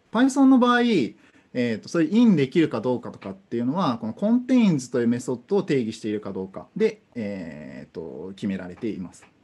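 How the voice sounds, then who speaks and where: The delivery moves at a fairly quick pace. Loudness swings widely throughout. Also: man. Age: 20s. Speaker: conference speaker on programming; conference speaker. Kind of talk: technical talk. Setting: online conference via Zoom. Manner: hesitant, many fillers.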